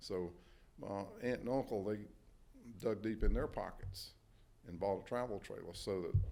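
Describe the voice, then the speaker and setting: A man with an eastern North Carolina accent and a dark, mellow tone, at a moderate pace with fairly even intonation and long, frequent pauses. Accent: Southern US, eastern North Carolina. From Halifax County, North Carolina. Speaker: Army veteran. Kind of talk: oral history interview answer.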